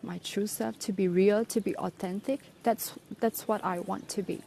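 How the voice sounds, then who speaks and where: This woman speaks with a non-native accent, her dark, mellow tone moving with ordinary pitch variation. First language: not English. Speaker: English teacher. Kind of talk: personal vlog reflection. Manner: halting, many fillers.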